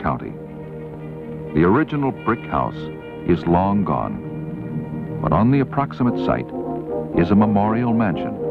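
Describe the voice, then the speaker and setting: With music in the background, a man of very deep, low pitch speaks at a moderate pace using lively intonation. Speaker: narrator. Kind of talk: documentary narration. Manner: matter-of-fact.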